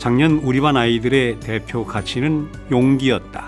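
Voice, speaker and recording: A man's medium-pitched voice at a fairly slow pace, with ordinary pitch variation and music in the background. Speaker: voice actor. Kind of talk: audiobook reading.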